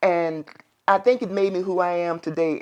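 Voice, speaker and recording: The woman talks at a moderate pace. Her pitch is fairly low. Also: quiet background. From Lynchburg, Virginia (US South). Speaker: local resident sharing community memories. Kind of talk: interview. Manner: conversational, with hesitations.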